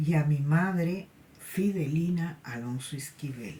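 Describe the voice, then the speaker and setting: A woman's somewhat breathy, dark, mellow voice at a fairly low pitch, very slow pace and ordinary pitch variation. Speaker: spiritualist medium and tarot channel host. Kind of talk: personal anecdote monologue. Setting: cold place. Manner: halting, with repetitions and fillers.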